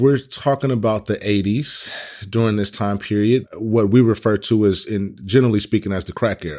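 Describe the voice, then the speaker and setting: A man with an American accent speaks at a moderate pace in a fairly low pitch, with a dark, mellow tone and ordinary pitch variation. The recording is very clean, with a silent background. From Oakland, California (East Oakland). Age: 30s. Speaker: workshop leader on police-community trust. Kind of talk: interview testimony.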